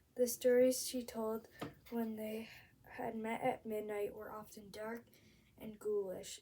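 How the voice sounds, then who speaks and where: Speaking fairly slowly, a woman has a squeaky yet dark, mellow tone, fairly high in pitch and delivered in a flat monotone. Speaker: amateur reader. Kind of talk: novel read-aloud. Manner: halting, stumbles over words.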